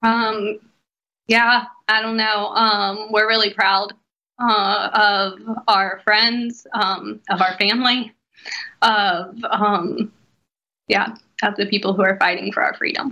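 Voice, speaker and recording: In an American accent, a woman speaks at a very slow pace, with long, frequent pauses. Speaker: missionary. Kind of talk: radio interview.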